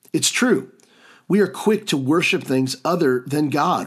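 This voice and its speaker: A plain, everyday voice from a man, lively in intonation. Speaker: podcast host and pastor. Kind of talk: sermon-like teaching monologue with prayers. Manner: earnest, fervent, warmly pleading, heartfelt prayer.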